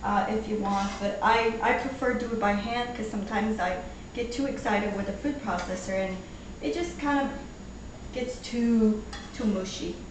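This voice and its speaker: Amid noticeable background noise and audible room echo, a woman with a fairly high pitch speaks at a moderate pace with ordinary pitch variation. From Portugal. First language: Portuguese. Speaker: home cook. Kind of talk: cooking tutorial. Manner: casual, halting with fillers.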